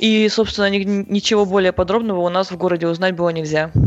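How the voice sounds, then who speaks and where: This woman talks at a fairly quick pace in an unremarkable speaking voice, medium in pitch, with fairly even intonation. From Siberia, Krasnoyarsk. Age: 20s. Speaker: CrossFit athlete and coach. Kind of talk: interview.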